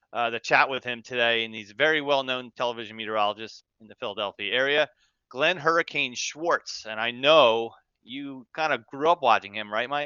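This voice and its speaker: A man with a normal speaking voice and an American accent, fairly quick pace and ordinary pitch variation. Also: medium pitch for a man, big swings in loudness. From Central New Jersey. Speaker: podcast host, meteorologist. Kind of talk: podcast interview.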